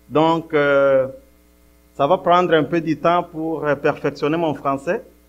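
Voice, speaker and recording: A man speaks at a fairly high pitch at a very slow pace. His intonation is fairly even. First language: English (non-native French) (speaking French). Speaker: guest preacher. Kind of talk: sermon. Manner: halting, with frequent hesitations.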